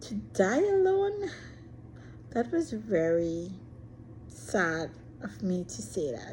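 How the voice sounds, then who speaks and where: A woman speaks very slowly, with long, frequent pauses and big swings in loudness. Room echo is audible. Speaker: vlogger. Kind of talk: personal monologue. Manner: shy.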